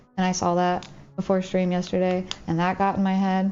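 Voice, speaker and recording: Over background music, a woman with an American accent talks at a fairly quick pace, medium in pitch and with monotone, flat intonation. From US South. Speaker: streamer. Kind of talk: casual chat. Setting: livestream. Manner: calm.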